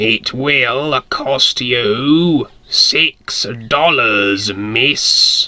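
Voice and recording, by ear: A man uses a raspy put-on character voice at a medium pitch, speaking at a very slow pace.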